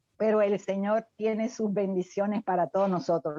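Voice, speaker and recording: The tone is dark and mellow. It comes from a woman. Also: dry, close sound with no echo. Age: 70s. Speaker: retired professional, lay church member. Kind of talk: group study discussion comment. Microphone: unstable internet connection.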